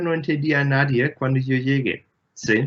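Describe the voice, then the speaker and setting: A man talks at a very slow pace with a German accent. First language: German (speaking Spanish). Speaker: astronomer, engineer. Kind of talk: Q&A interview. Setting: video call from home. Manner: halting, many fillers.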